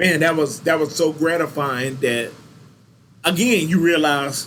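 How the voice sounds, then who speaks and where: A man's fairly high voice with a Southern US accent and ordinary pitch variation. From Louisiana and Texas (Baton Rouge, then Texas). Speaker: university recreation supervisor. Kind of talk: interview, casual storytelling. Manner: animated.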